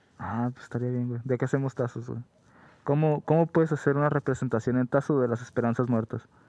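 A man's medium-pitched voice with a dark, mellow tone, fairly quick pace, fairly even intonation and big swings in loudness, dry and close with no echo over a quiet background. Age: 20s. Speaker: podcast co-host. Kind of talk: casual chat.

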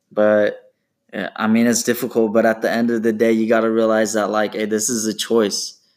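On a very clean recording with a silent background, a man with a West Coast US accent speaks in a medium pitch with monotone, flat intonation. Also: moderate pace. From Portland, Oregon, US Pacific Northwest. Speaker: kinesiology student and bodybuilder. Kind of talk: casual chat.

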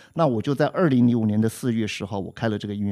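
A man talks at a fairly quick pace in a medium pitch. His pitch varies in an ordinary way. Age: 60s. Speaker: music teacher and podcast co-host. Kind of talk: casual chat. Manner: clear, precise articulation.

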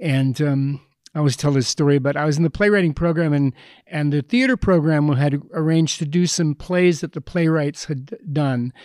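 A man with a Canadian accent talks at a moderate pace in a plain, everyday voice, with ordinary pitch variation and a dry, close sound with no echo. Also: fairly high pitch for a man, very clean recording, silent background. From Canada, Edmonton. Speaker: playwright and director. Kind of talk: panel discussion. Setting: stage with audience.

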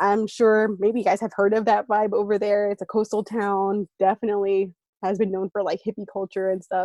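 A woman with a Californian accent, dark and mellow in tone, flat and monotone, at a fairly quick pace, in a dry, close sound with no echo against a quiet background. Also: medium pitch for a woman. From San Francisco Bay Area (East Bay). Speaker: education program worker. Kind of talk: interview. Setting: remote call.

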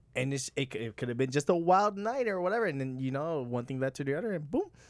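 Very wide pitch swings mark this animated voice at a very fast pace. The recording is very clean, with a silent background. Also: man. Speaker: podcast host. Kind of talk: casual chat. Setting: studio.

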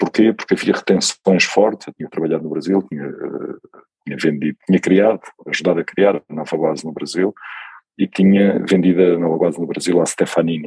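A man talks at a fairly quick pace with a very deep, low pitch and fairly even intonation. The sound is dry and close with no echo. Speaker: tech company CEO. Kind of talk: interview.

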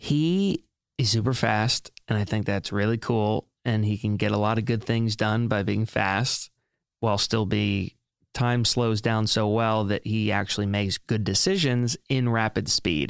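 A man with an American accent and an unremarkable speaking voice, fairly low in pitch, at a fairly slow pace with fairly even intonation and very even loudness, on a very clean recording with a silent background. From US South, South Carolina. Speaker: author and entrepreneur. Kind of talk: interview conversation. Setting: studio.

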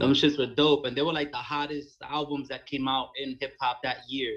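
With a Brooklyn accent, a man speaks at a fairly quick pace and a fairly high pitch. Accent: New York (Brooklyn). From New York, Bushwick, Brooklyn. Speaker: rapper. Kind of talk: casual chat.

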